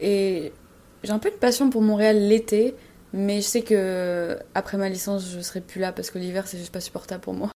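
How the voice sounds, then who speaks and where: A woman's medium-pitched, dark and mellow voice at a moderate pace, with fairly even intonation and big swings in loudness. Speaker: university student. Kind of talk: casual chat.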